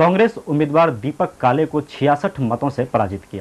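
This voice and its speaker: With lively intonation and a fairly high pitch, a man speaks in a plain, everyday voice. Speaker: news anchor. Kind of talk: TV news bulletin read.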